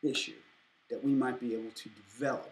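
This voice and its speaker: You can hear echo from the room. The speaker is a man. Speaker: anthropology student. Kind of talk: lecture. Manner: halting.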